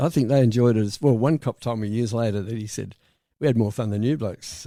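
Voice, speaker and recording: With an Australian accent, a man speaks fairly quickly at medium pitch in a dark, mellow tone with ordinary pitch variation, on a very clean recording with a silent background. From South Australia. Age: 80s+. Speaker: retired insurance broker. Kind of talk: interview answer.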